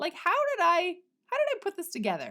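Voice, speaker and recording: A woman's animated tone in a very clean recording with a silent background. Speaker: podcast host and business coach. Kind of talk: solo podcast monologue. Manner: occasional stutter.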